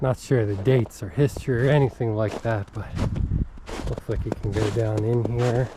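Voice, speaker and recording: Noticeable background noise runs beneath speech that keeps a moderate pace and fairly even intonation. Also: man. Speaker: hiking vlogger. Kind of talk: walking vlog narration. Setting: outdoors on a snowy trail. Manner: chatty, talkative.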